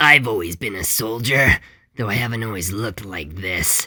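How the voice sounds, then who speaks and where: A man puts on a character voice that is raspy, at a medium pitch with ordinary pitch variation. He keeps a moderate pace, and the recording is very clean with a silent background. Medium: read story. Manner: grave, reflective.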